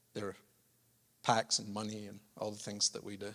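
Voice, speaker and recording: A man talks at a moderate pace in a Scottish accent. His tone is bright and sharp. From Scotland. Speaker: charity chief executive, former pastor. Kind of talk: speech to church congregation. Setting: church service.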